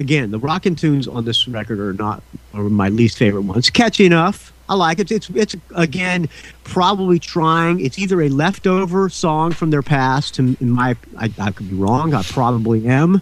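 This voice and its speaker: A man speaks at a moderate pace with a fairly high pitch and very wide pitch swings. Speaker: podcast host. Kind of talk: casual chat.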